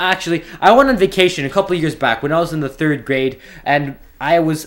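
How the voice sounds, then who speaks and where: Over a silent background in a very clean recording, a man with a high pitch speaks at a moderate pace. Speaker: YouTube storyteller. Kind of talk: casual storytime monologue. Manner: rambling, hesitant with repeats.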